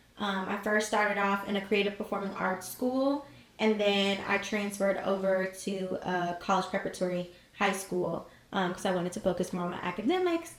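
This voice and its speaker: Against noticeable background noise, a woman with a medium pitch and an American accent speaks with fairly even intonation. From Cincinnati, Ohio, US Midwest. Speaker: college student and marketing entrepreneur. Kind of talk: podcast interview. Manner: casual, with frequent fillers.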